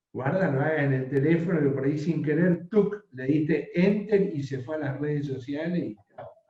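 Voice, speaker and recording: Speaking at a fairly slow pace, a man with a fairly high pitch has a dark, mellow, somewhat breathy tone and ordinary pitch variation. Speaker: professor teaching a workshop. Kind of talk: online workshop lecture.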